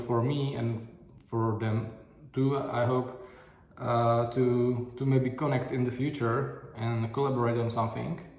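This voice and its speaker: With a non-native accent, a man talks at a fairly slow pace in a medium pitch and fairly even intonation, with audible room echo and noticeable background noise. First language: not English. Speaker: video diary vlogger. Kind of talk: casual video diary monologue. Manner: halting, many fillers and restarts.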